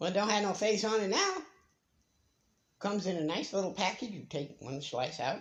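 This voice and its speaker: Lively intonation from a man. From United States. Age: 60s. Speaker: retiree vlogger. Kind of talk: casual monologue. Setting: bedroom at home.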